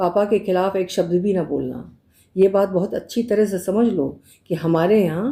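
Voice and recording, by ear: A natural voice reading text out loud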